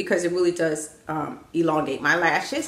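With audible room echo around her, a woman speaks at a moderate pace. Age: 50s. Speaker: fashion YouTuber with an office job. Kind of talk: vlog, showing outfits to camera. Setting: home, spare bedroom turned closet. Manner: casual, chatty. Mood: upbeat, friendly. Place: home room. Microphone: phone near.

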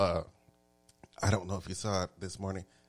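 Music plays in the background as a man with an American accent speaks in an animated tone. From Texas. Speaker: talk show host. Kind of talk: casual chat. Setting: studio.

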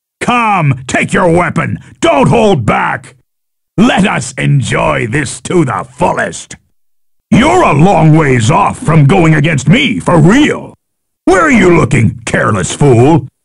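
A man's put-on character voice, fairly high in pitch with very wide pitch swings, at a fairly slow pace. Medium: dub. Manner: taunting, boastful.

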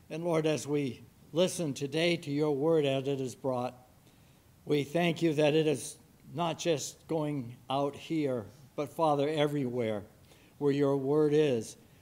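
Very slow speech from a man, with fairly even intonation. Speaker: church member leading prayer. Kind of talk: prayer. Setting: church. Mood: warm, earnest. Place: church. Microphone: podium.

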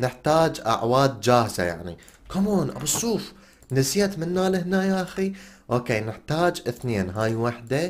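At a moderate pace, a man with an Iraqi accent speaks at medium pitch with very wide pitch swings. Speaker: gaming YouTuber. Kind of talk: gameplay commentary. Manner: animated.

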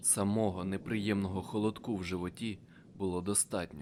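A man speaks in an ordinary speaking voice, fairly low in pitch, at a moderate pace with fairly even intonation. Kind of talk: dramatic audiobook narration, first-person. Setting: audiobook. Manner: tense, urgent, breathless action pacing.

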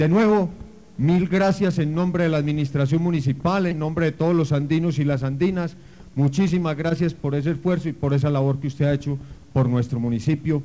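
A man talks at a fairly quick pace. His loudness stays very even, and his intonation is fairly even. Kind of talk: formal public speech. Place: street.

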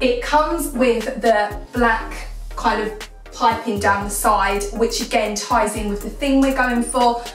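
Audible room echo and faint music in the background accompany a woman's voice. She talks at a fairly slow pace with fairly even intonation. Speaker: home vlogger. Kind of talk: casual vlog chat. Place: bathroom.

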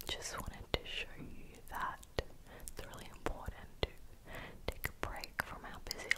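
A woman whispers in a gentle tone at a very slow pace. Noticeable background noise runs behind her. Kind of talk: ASMR close-up whispering. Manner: soft, gentle, intimate.

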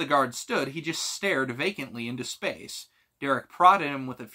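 A quiet background beneath a natural reading voice with ordinary pitch variation

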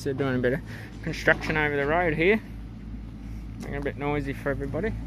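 Talking at a very fast pace, a man is heard over noticeable background noise in a dry sound with no echo. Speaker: travel vlogger. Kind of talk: casual vlog narration. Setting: outdoors. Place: open country. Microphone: muffled by face mask; phone near.

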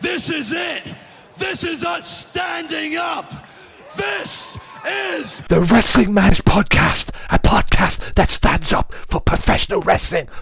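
Over crowd noise in the background, a man shouts at a very slow pace. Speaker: wrestling podcast host. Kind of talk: wrestling promo-style podcast monologue. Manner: animated; showy, over-the-top.

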